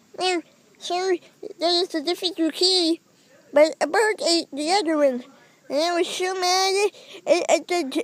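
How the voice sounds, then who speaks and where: A cartoonish character voice at an extremely high pitch moves at a moderate pace, broken by long, frequent pauses. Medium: puppet. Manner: hesitant.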